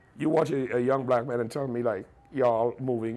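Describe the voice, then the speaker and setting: A man talks at a fairly quick pace with an American accent. His pitch is medium. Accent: slight American accent per others. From Trinidad, San Juan. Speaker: radio broadcaster. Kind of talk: interview. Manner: repetitive stammering starts.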